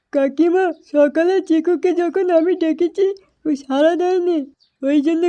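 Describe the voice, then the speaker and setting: This is a cartoonish character voice with an extremely high pitch. It moves at a fairly slow pace. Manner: excitable.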